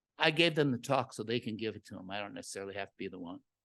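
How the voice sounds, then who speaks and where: A man's animated voice with vocal fry and very wide pitch swings. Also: quiet background. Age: 60s. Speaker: botanist and lecturer. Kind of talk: lecture.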